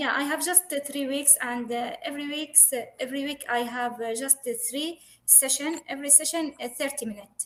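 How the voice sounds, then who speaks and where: Speaking at a moderate pace with hardly any pauses, a woman keeps a high pitch and fairly even intonation. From Syria. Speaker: English learner. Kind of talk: language practice conversation. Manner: halting with many fillers.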